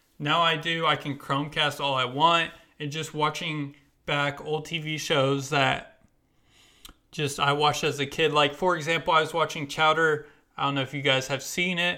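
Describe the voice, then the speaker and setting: A man with an American accent speaks at a moderate pace in a fairly high, bright, sharp voice with monotone, flat intonation. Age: 20s. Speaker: podcaster, college student. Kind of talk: casual solo podcast monologue.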